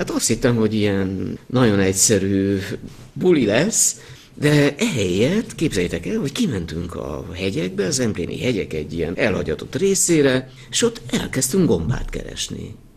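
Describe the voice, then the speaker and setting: The voice swings very widely in pitch. Its pace is moderate. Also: man, medium pitch for a man. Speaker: winemaker. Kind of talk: interview.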